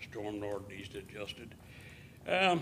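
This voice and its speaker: A man with an American accent, fairly low in pitch, bright and sharp in tone, with audible room echo. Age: 70s. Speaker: landlord speaking at public comment. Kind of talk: public comment at council meeting. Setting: city council chamber. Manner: unscripted, hesitant with fillers.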